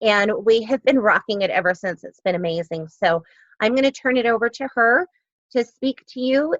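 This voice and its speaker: An unremarkable speaking voice moves at a moderate pace with ordinary pitch variation, recorded with a dry, close sound and no echo. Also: woman. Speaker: network marketing team leader. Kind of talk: training webinar presentation. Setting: online video meeting, recorded.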